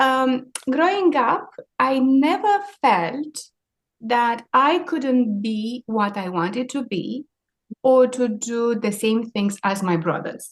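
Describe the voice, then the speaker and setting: A woman in a Romanian accent, high-pitched, with very wide pitch swings at a very slow pace. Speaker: maritime sustainability leader. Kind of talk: interview.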